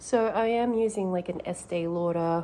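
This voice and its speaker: A woman in an Australian accent speaks at a moderate pace, her voice fairly low with ordinary pitch variation. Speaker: vlogger, mother and actress/model. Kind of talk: casual vlog chat, get ready with me.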